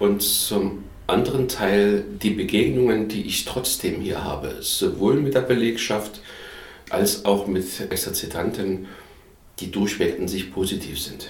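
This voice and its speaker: A man's fairly low voice at a fairly slow pace, with ordinary pitch variation and audible room echo. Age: 50s. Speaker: caretaker of a retreat house. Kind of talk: interview.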